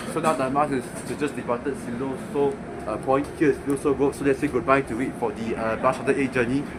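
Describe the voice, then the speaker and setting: Through audible room echo and noticeable background noise, a man talks at a very fast pace in a medium-pitched voice with fairly even intonation. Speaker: bus enthusiast vlogger. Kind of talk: casual travel vlog commentary. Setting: on a moving bus. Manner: loud; halting, many fillers.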